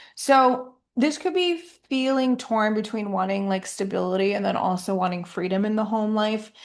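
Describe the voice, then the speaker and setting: An unremarkable speaking voice from a woman, fairly high in pitch, with lively intonation, a moderate pace and hardly any pauses. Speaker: astrologer. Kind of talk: horoscope monologue. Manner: casual with fillers.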